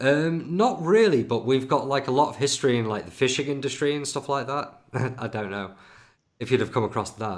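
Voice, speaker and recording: A man talks with a Lincolnshire accent at a medium pitch. His pace is fairly quick and his intonation lively. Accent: northern English (Lincolnshire). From Grimsby, northern England. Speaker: podcast host. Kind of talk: casual interview chat. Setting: live video stream.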